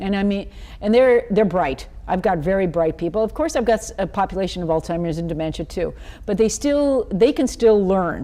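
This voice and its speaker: A woman talks at a fairly quick pace in a medium pitch. Her intonation is lively. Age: 60s. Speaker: talk show host and senior educator. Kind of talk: casual interview chat. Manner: animated, interrupting.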